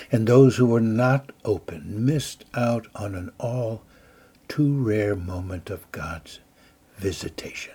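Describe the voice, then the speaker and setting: A somewhat breathy man speaks very slowly at a medium pitch with ordinary pitch variation. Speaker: devotional speaker. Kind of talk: fervent prayer and guided meditation. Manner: calm, gentle, slow and soothing; earnest, fervent, imploring.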